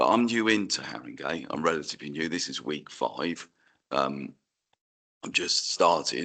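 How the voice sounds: In a put-on character voice, a man speaks at a moderate pace with a very deep, low pitch that sounds hoarse and raspy.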